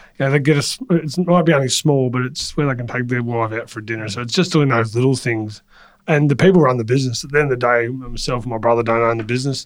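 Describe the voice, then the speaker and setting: Words tumble out of a man very fast. He sits at a medium pitch. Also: ordinary pitch variation. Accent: Australian. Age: 40s. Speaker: transport company CEO. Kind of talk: interview.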